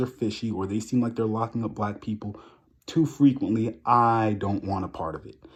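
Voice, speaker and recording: The speaker talks at a fairly quick pace with a New York accent. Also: man, big swings in loudness. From New York, Long Island. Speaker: vlogger. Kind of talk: casual rant to camera. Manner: animated.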